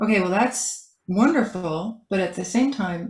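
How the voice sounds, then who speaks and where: A woman speaks at a fairly slow pace. Her voice is medium in pitch and somewhat breathy. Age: 70s. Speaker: author and decorative artist. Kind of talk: interview.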